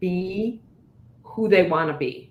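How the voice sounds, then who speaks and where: A woman talks, and noticeable background noise runs beneath her. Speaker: leadership guest speaker. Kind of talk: casual interview chat. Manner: gets loud when excited.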